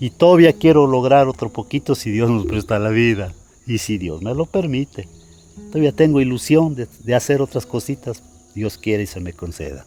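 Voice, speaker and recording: Music plays in the background as a man speaks at a moderate pace. His medium pitch makes very wide swings. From Mexico. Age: 60s. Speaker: bricklayer. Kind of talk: interview. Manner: halting, repeats words.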